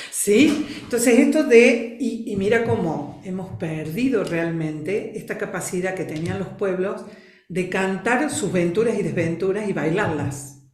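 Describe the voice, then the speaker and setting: A woman of medium pitch speaks at a fairly slow pace with lively intonation. Noticeable background noise and audible room echo surround her. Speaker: trainer in family constellations and expressive movement. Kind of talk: interview.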